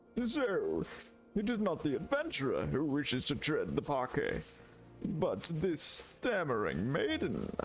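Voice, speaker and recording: A man puts on a character voice at a fairly slow pace, his loudness very even, over clear background noise. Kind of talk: archaic, theatrical speech. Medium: actual play. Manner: pompous, imperious.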